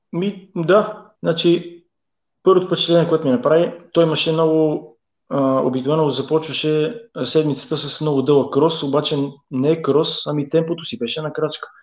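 Using an ordinary speaking voice, a man talks at a moderate pace and a fairly high pitch with ordinary pitch variation. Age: 40s. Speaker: professional footballer. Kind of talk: casual interview. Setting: Facebook live video.

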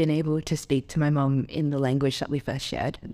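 Her very deep, low pitch and dark, mellow tone stay monotone and flat as the woman moves at a fairly quick pace. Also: very clean recording, silent background. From Adelaide, South Australia. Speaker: university student. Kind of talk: interview, personal storytelling.

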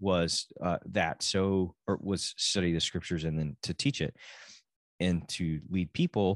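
A man with a Texan accent speaks in a very deep, low pitch. The sound is dry and close with no echo, over a quiet background. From Texas. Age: 40s. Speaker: podcast host. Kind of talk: solo podcast monologue. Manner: casual, halting with many restarts.

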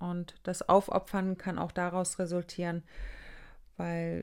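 The pace here is very slow. A woman delivers it at a medium pitch. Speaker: relationship coach, podcast host. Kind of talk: solo podcast monologue.

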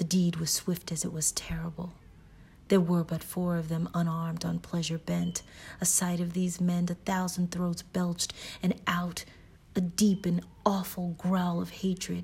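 Her fairly low voice comes out somewhat breathy and in a flat monotone as the woman talks. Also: moderate pace. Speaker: podcast host reading a novel aloud. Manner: casual chatty intro, then formal period-style delivery.

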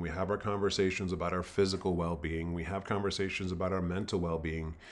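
Using fairly even intonation, a man talks in a very deep, low pitch. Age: 50s. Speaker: spiritual coach and minister. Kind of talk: solo podcast monologue. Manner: hesitant, many filler words.

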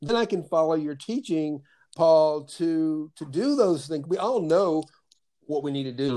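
Here a man speaks at a moderate pace with lively intonation. His tone is dark and mellow, his pitch high. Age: 60s. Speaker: podcast host. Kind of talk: calm guided conversation with meditation. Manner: warm, reflective, spiritual.

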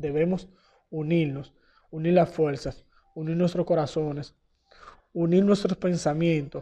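With long, frequent pauses, a man talks fairly slowly at a fairly high pitch and with fairly even intonation. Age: young. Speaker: church youth retreat member. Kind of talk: testimony.

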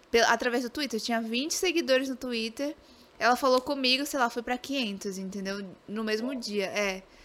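The recording is very clean, with a silent background. A woman talks at a moderate pace in a high pitch. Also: ordinary pitch variation. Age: 20s. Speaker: game streamer. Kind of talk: casual interview.

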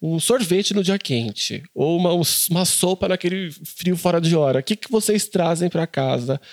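The sound is dry and close with no echo as a man with a high pitch speaks at a moderate pace with ordinary pitch variation. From interior of Brazil. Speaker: journalist and podcast host. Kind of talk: interview.

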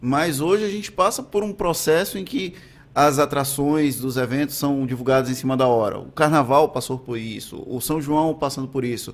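Speaking at a moderate pace, a man uses an ordinary speaking voice with a fairly high pitch and ordinary pitch variation. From Valença, Bahia, Brazil. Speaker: news podcast host. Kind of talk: interview.

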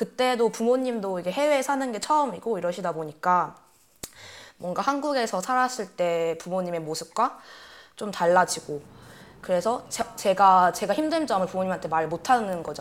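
With a plain, everyday voice, a woman speaks at a moderate pace and medium pitch, her intonation lively. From Korea, Vietnam and Germany. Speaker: podcast co-host. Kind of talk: casual chat.

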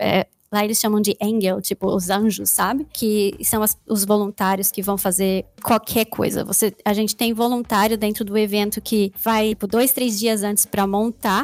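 Dry and close with no echo, a woman's voice holds a medium pitch with monotone, flat intonation and very even loudness, moving at a moderate pace with hardly any pauses. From Brazil. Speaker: hacker and malware analyst. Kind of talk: casual interview chat.

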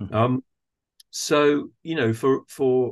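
Against a quiet background, a man's somewhat breathy voice moves with ordinary pitch variation. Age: 60s. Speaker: theatre director and actor. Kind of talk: casual interview conversation.

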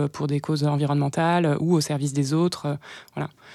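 Her pitch very deep and low, a woman speaks in a dark, mellow tone with monotone, flat intonation. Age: 20s. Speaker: community co-founder and author. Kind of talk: interview. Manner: hesitant.

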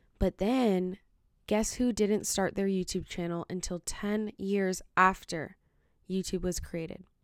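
Soft-spoken and at a fairly slow pace, the voice sits in a very clean recording with a silent background. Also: woman, medium pitch for a woman, fairly even intonation. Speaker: podcast host and TikTok creator. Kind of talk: casual solo commentary. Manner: casual, many fillers like 'like' and 'um'.

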